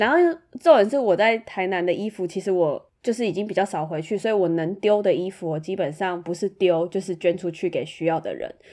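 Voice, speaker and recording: A woman's dark, mellow voice at a medium pitch with ordinary pitch variation, fairly quick in pace, against a quiet background. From Taiwan, Tainan. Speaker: podcast co-host. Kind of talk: casual chat.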